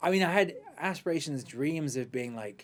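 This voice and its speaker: Talking at a fairly quick pace, a man with an American accent uses lively intonation. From central England. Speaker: actor. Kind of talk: casual interview. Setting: studio.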